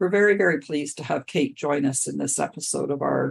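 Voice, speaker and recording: A woman's very deep, low voice with vocal fry. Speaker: accessibility consultant and podcast host. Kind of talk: podcast introduction and commentary.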